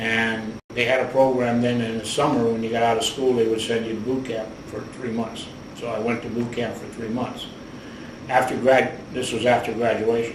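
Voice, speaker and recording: With an American accent, a man talks at a moderate pace in a medium pitch and monotone, flat intonation, with audible room echo and noticeable background noise. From US Midwest, Cleveland, Ohio. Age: 70s. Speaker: war veteran. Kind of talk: oral history interview.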